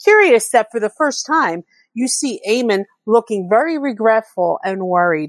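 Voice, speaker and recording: A woman's normal speaking voice at a moderate pace, dry and close with no echo, on a very clean recording with a silent background. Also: fairly high pitch for a woman. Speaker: listener leaving voicemail.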